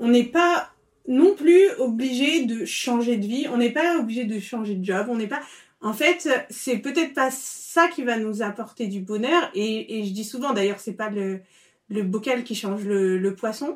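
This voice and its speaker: A woman with an unremarkable speaking voice talks at a fairly slow pace, her fairly high pitch carried by lively intonation. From Paris, France. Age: 30s. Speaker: food blogger. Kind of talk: interview conversation. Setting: in the host's home.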